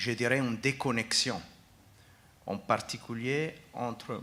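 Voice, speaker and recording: The speaker uses fairly even intonation with an Italian accent. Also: man. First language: Italian (speaking French). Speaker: foundation executive, panelist. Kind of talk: panel discussion. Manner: halting, frequent hesitations.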